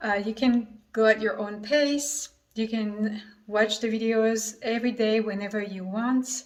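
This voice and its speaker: With a French accent, a woman speaks at a fairly slow pace, her pitch fairly high and her intonation fairly even. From France. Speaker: affiliate marketer. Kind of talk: sales pitch.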